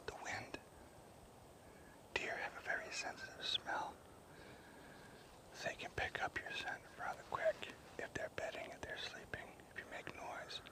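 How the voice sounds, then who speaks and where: Someone whispers at a fairly slow pace, with long, frequent pauses and noticeable background noise. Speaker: hunting vlogger. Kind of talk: outdoor tutorial. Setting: outdoors in the woods. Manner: whispering, low volume.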